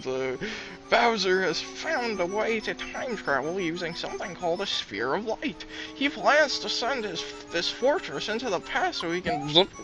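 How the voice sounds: A put-on character voice sits at a middle pitch. Clear music plays in the background. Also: moderate pace.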